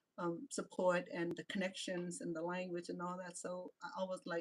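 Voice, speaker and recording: A woman speaks at a medium pitch and moderate pace in a strong Cambodian accent, with ordinary pitch variation and a dry, close sound with no echo. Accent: strong Khmer accent in English. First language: Khmer. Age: 60s. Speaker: reality show personality and vlogger. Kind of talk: live-stream monologue. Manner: halting, frequent repetitions.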